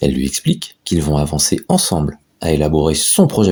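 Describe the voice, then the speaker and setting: A man speaks in a dark, mellow tone. His pace is fairly slow. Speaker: voice-over narrator. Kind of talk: animated explainer narration.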